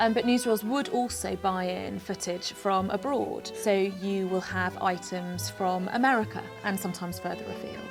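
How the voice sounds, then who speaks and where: Music plays in the background as a woman speaks at a moderate pace. She leaves hardly any pauses. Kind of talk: interview answer.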